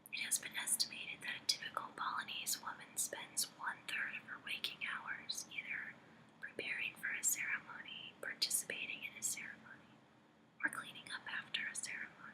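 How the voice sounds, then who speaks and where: Someone is whispering at a fairly quick pace. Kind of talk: audiobook-style memoir reading. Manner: whispered.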